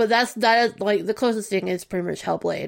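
Vocal fry runs through a woman's fairly high voice, which has ordinary pitch variation. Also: very clean recording, silent background. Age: 30s. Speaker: gaming podcast guest. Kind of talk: casual chat.

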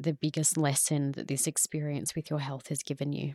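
A woman with an Australian accent speaks at a moderate pace in a dark, mellow tone, recorded dry and close with no echo against a silent background, very clean. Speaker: podcast host. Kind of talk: casual interview.

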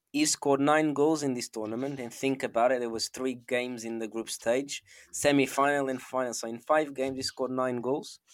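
A man's medium-pitched voice with a Portuguese accent, fairly quick and nearly pause-free, in a monotone, flat intonation on a very clean recording with a silent background. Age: 20s. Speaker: football podcast co-host. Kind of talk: casual chat.

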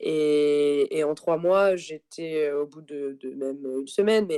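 A woman speaks very slowly with a very deep, low pitch and a dark, mellow tone. Her intonation is fairly even, and the sound is dry and close with no echo. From France, Paris region and Tarbes. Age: 30s. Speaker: expatriate guest. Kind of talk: interview. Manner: hesitant with many fillers and repetitions.

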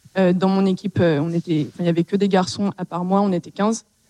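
A woman's medium-pitched voice, dark and mellow in tone, at a moderate pace with fairly even intonation and a dry, close sound with no echo. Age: 20s. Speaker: startup CTO. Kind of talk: panel discussion. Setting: stage with audience.

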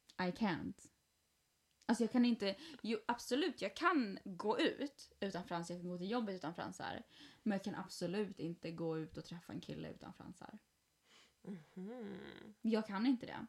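A woman talks in a plain, everyday voice at a medium pitch with ordinary pitch variation. Her loudness swings a lot. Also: moderate pace. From Sweden. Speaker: podcast host. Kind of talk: casual chat. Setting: at home.

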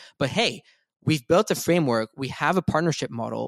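In a very clean recording with a silent background and a dry, close sound without echo, a man speaks very fast with vocal fry and ordinary pitch variation. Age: 20s. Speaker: NFT collector and web3 media founder. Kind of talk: casual chat.

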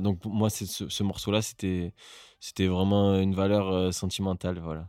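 Very deep and low, the man's voice has a dark, mellow tone. His intonation is flat and monotone, and the recording is very clean with a silent background. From southern France, Marseille. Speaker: musician. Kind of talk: casual chat.

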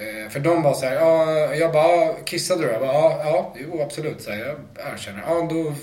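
A man speaks at a moderate pace with a fairly high pitch. Audible room echo and noticeable background noise surround his voice. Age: 40s. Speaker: rapper. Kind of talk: casual chat.

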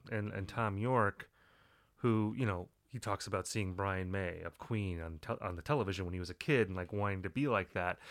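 On a very clean recording with a silent background, a man with an American accent speaks at a fairly quick pace, his fairly low pitch showing ordinary variation. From US Upper Midwest. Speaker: music critic and author. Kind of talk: interview. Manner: hesitant, many fillers.

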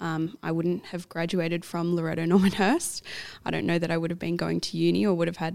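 This woman speaks with an Australian accent, her pitch fairly low and its variation ordinary. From Australia, New South Wales. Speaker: medical student. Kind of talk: casual chat.

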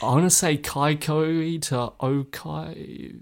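A man speaks very slowly with a New Zealand accent. His pitch rises and falls in an ordinary way. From New Zealand, Northland. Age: 20s. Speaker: ultramarathon runner. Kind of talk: interview.

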